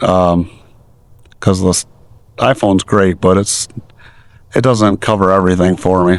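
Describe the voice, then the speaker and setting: A man with a very deep, low voice speaks at a fairly slow pace, with long, frequent pauses. His intonation is monotone and flat, and his loudness stays very even. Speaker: DIY video maker. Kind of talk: casual vlog. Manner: halting.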